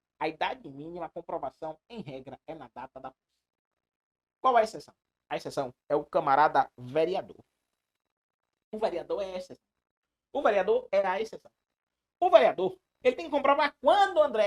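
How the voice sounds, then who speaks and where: High-pitched for a man, he talks fairly quickly with very wide pitch swings and big shifts in loudness. Long, frequent pauses break up the speech, and the sound is dry and close with no echo. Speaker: law exam prep teacher. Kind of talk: live online lecture. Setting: live stream. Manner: fast; animated.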